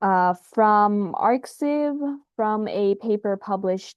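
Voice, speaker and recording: It is a plain, everyday voice with ordinary pitch variation. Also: woman. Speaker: science youtuber. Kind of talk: casual explainer video. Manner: casual, with filler words.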